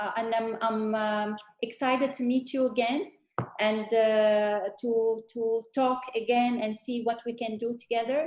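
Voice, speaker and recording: Fairly slow, monotone and flat delivery from a woman with a fairly high pitch. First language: French and Arabic. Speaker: guest speaker. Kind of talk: panel discussion closing remarks. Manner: halting, many fillers.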